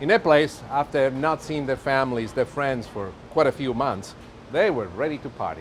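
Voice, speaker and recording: In an Italian accent, a man speaks at a moderate pace with lively intonation and big swings in loudness. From Italy. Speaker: TV chef. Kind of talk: cooking show presentation. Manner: animated.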